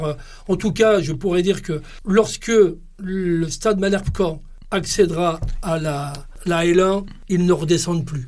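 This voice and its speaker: The man's voice sits high, with ordinary pitch variation. He speaks at a fairly slow pace, and audible room echo surrounds him. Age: 60s. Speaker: football club technical director. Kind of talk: podcast interview. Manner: halting, many repetitions and hesitations.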